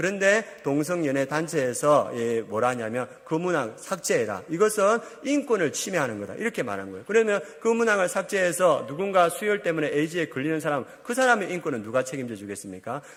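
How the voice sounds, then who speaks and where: A man's fairly high voice at a fairly quick clip, with very wide pitch swings and hardly any pauses. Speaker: pastor. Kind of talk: sermon. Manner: fast.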